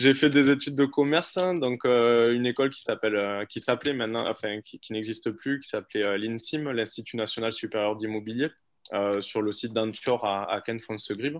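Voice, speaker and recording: The pace is moderate. Pitch variation is ordinary. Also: man, medium pitch for a man. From Toulouse area, France (Auvergne-born, moved at two). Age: 30s. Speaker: business partner guest, real estate professional. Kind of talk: casual interview. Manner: hesitant, many fillers.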